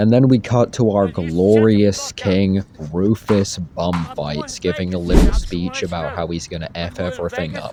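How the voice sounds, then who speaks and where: There is noticeable noise behind this man, whose voice sits very deep and low. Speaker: amateur movie reviewer. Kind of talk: casual video review.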